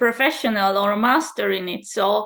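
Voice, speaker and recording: A woman speaks with a Hungarian accent. Her pace is very slow. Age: 30s. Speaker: channeler and spiritual mentor. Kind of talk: interview. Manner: halting.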